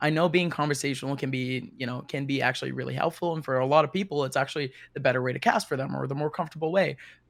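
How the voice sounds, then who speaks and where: With vocal fry, the voice runs at a very fast pace with hardly any pauses, in a very clean recording with a silent background. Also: man, fairly high pitch for a man, ordinary pitch variation. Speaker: esports commentator. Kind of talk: panel discussion. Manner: animated.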